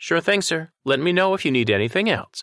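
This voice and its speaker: A man speaks in a put-on character voice, pitched fairly high for a man. His pitch swings very widely and his pace is fairly quick. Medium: read story. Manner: polite, friendly.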